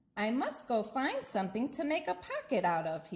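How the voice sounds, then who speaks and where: A woman puts on a character voice, speaking at a moderate pace with a high pitch. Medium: read story. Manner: wondering, innocent.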